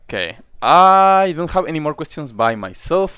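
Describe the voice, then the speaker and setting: A man's voice with a Spanish accent. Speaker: streamer and interviewer. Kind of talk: casual live-stream interview. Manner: halting, many restarts.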